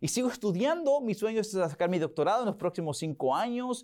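A man's high-pitched voice with very wide pitch swings, at a fairly quick pace. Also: very clean recording, silent background. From Oklahoma, US, to Mexican parents. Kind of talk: interview. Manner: hesitant, many fillers and repetitions.

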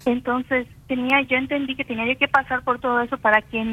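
Fairly even intonation at a moderate pace. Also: woman. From Campeche, Mexico. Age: 40s. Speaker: singer-songwriter. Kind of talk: interview testimony.

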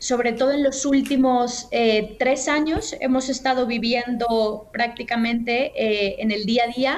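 A woman speaks at a high pitch and a very slow pace with fairly even intonation. Audible room echo fills the recording. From Mexico, Guadalajara. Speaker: journalist and communications manager. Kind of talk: interview.

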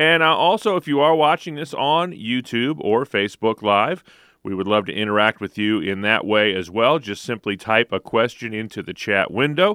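Hardly pausing at all, a man speaks in a normal speaking voice at a medium pitch and moderate pace, with lively intonation. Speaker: radio show co-host and announcer. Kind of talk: radio hosting and call management. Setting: radio studio. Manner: upbeat, polished announcer delivery.

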